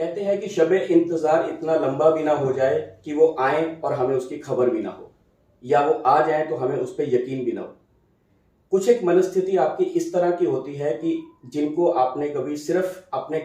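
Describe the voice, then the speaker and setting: A man speaks in a normal speaking voice, fairly high in pitch with ordinary pitch variation. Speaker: talk show host. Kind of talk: poetic show introduction.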